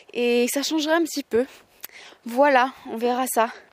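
Recorded dry and close with no echo, a woman speaks at a high pitch with ordinary pitch variation. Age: 20s. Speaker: podcaster. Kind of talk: casual monologue. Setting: outdoors, walking. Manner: halting.

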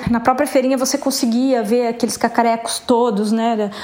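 A woman with a high pitch speaks in monotone, flat intonation over noticeable background noise. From São Paulo state, Brazil (Ribeirão Preto). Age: 50. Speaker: visual artist. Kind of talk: interview.

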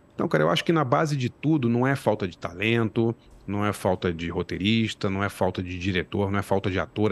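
With an ordinary speaking voice, a man talks at a fairly low pitch and a fairly quick pace, hardly pausing, with ordinary pitch variation in a dry, close sound with no echo. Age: 50s. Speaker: journalist and screenwriter. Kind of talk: casual interview.

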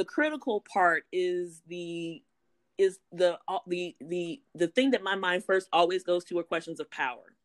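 A woman with an American accent, fairly low in pitch, at a very slow pace with lively intonation, in a dry, close sound with no echo. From US South, South Louisiana. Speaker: professor. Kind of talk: interview.

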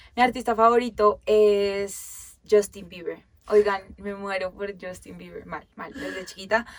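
With an animated tone and big swings in loudness, a woman speaks fairly slowly at a medium pitch. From Colombia, Bogotá and Girardot. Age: 20s. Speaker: podcast co-host. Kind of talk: casual chat.

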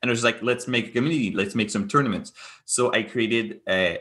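Speaking at a fairly quick pace, a man with a Quebec accent has a medium pitch, ordinary pitch variation and a bright, sharp tone. The background is quiet. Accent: Québécois French-accented English. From Quebec, Montreal. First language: French. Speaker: gaming and esports entrepreneur. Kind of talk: interview conversation. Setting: remote call. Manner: animated, laughs often; hesitant, many fillers and repetitions.

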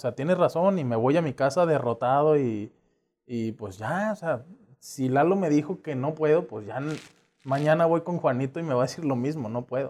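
At a moderate pace, a man with an ordinary speaking voice talks in a fairly high pitch with ordinary pitch variation. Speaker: communications graduate and sports enthusiast. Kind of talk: casual interview chat.

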